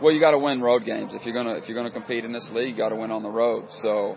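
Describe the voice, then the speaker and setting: A man's medium-pitched voice with fairly even intonation, against noticeable background noise. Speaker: basketball coach. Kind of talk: pregame radio interview. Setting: pregame radio interview at the arena. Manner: casual, conversational, plain-spoken.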